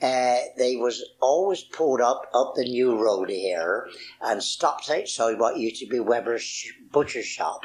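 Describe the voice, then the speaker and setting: Talking fairly slowly with a Wiltshire accent, a man uses a medium pitch and ordinary pitch variation. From Marlborough, Wiltshire, England. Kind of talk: oral history interview answer.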